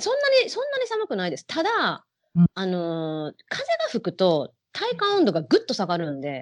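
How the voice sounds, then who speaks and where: At a moderate pace, a woman talks with big swings in loudness, the sound dry and close with no echo. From Japan, Osaka. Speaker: hula hoop performer. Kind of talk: interview.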